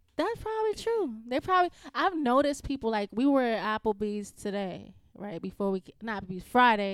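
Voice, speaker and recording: In a Bronx accent, a woman talks at a fairly quick pace with a fairly high pitch and lively intonation. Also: dry, close sound with no echo. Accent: New York, Bronx. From New York, the Bronx. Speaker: engineer. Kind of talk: casual chat.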